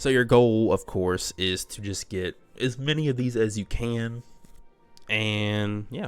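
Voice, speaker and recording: Over music in the background, a man with a medium pitch talks at a very slow pace in a relaxed tone with fairly even intonation. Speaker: gaming YouTuber. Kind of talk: game tutorial narration. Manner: casual, relaxed.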